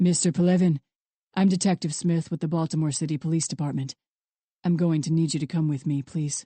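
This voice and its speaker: In a put-on character voice, the speaker talks at a fairly quick pace with a calm, resonant tone and a middle pitch. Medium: read story. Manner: calm, low, ominous.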